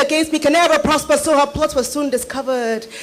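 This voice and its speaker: A high-pitched woman at a very fast pace, monotone and flat in intonation, with noticeable background noise. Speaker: spoken word poet. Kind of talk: spoken word poetry performance.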